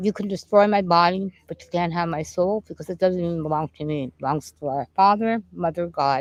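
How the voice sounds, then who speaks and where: Hardly pausing, a woman with a plain, everyday voice talks at a fairly quick pace with a fairly low pitch and ordinary pitch variation, in a dry, close sound with no echo. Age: 60s. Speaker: spiritual healer and painter. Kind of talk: casual interview chat. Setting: outdoors in a park.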